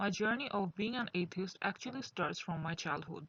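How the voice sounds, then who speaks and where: Speaking with a Bengali accent, a woman uses lively intonation at a medium pitch and a moderate pace. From Bangladesh. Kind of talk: personal testimony monologue.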